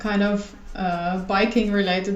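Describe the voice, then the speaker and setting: With a German accent, a woman speaks at a fairly slow pace and a fairly high pitch in a monotone, flat intonation, with noticeable background noise and audible room echo. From Germany. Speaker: illustrator and designer. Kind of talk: casual chat. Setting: recording at home.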